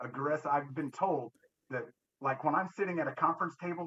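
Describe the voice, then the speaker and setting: This man's voice is loud, with a bright, sharp tone. His pitch sits fairly high. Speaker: war veteran. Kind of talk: casual chat. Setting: video call. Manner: assertive.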